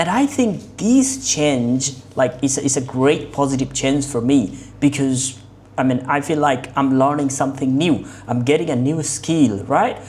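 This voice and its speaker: With a Bengali accent, a woman with a very deep, low pitch speaks at a fairly slow pace with ordinary pitch variation, amid noticeable background noise and audible room echo. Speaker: English learning vlogger. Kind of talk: mock speaking exam. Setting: online video call. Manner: halting.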